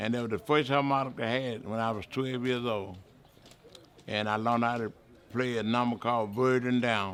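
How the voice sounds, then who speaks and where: Speaking with a Mississippi accent, a man uses a medium pitch, a moderate pace and fairly even intonation. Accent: Mississippi Southern US. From Mississippi, US South. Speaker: blues musician. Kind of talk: interview.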